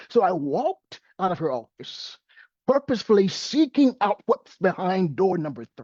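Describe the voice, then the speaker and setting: This man speaks with a high pitch. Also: dry, close sound with no echo. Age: 60s. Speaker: poet. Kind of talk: poetry reading.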